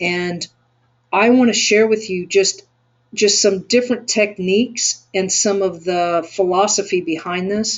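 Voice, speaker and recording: A woman talks with a Texan accent at a fairly slow pace. Her pitch is medium and her intonation fairly even. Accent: Texan American. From Texas. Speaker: SEO agency owner and webinar teacher. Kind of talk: webinar tutorial.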